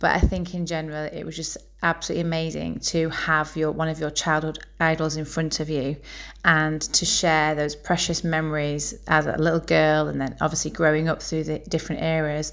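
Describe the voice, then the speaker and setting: A woman speaks at a fairly quick pace in a very deep, low voice with monotone, flat intonation. The recording is very clean, with a silent background. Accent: Yorkshire. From Bradford, northern England. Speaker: fan. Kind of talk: recorded testimony.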